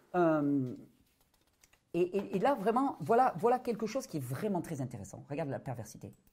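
The voice moves through very wide pitch swings, broken by long, frequent pauses. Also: man, high pitch for a man, moderate pace. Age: 40s. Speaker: natural health video creator. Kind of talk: interview testimony.

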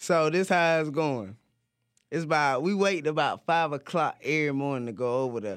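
In a very clean recording with a silent background, a man speaks at a moderate pace with a fairly high pitch and ordinary pitch variation. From US South, Pageland, South Carolina. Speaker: rapper and producer. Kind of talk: casual chat.

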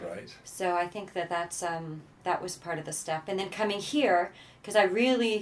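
Speaking at a moderate pace in a plain, everyday voice, a woman with a Canadian accent has a medium pitch. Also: ordinary pitch variation. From Canada. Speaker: social entrepreneur. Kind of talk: interview. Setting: in person, Amsterdam.

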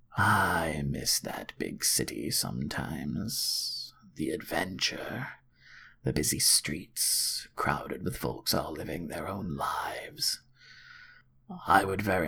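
A whispered, put-on character voice at a fairly slow pace. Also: man. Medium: read story. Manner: soft, wistful.

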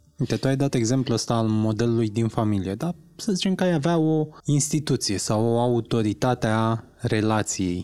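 In a very clean recording with a silent background, a man with an ordinary speaking voice talks at a moderate pace, his pitch medium and its variation ordinary. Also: hardly any pauses. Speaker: podcast co-host. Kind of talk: casual interview.

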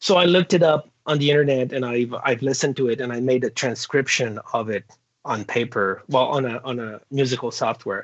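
A man talks fairly quickly in a French Canadian accent. His pitch is medium, with ordinary variation. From Quebec. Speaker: comic book artist. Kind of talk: interview. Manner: halting.

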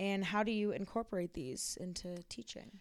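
In an ordinary speaking voice with an American accent, the speaker moves at a moderate pace with ordinary pitch variation, on a very clean recording with a silent background. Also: woman. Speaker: student podcast host. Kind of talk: interview.

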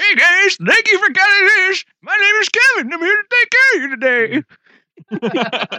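Someone uses a put-on character voice at an extremely high pitch, speaking at a moderate pace with long, frequent pauses. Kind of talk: polite, customer service.

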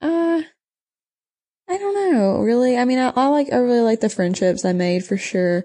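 A woman speaks with a Texan accent at a moderate pace and high pitch, using very wide pitch swings. Her loudness stays very even, and she makes long, frequent pauses. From southeast Texas. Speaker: cattle rancher. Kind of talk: casual interview.

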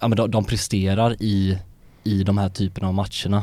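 Speaking at a moderate pace, a man uses a fairly low voice with monotone, flat intonation. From Sweden, Lerum near Gothenburg. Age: 20s. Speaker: journalism student. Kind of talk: casual chat. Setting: studio.

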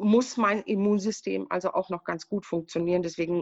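A woman talks in a plain, everyday voice at medium pitch, with ordinary pitch variation and a moderate pace. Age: 60s. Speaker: patient sharing her illness story. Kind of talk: casual interview.

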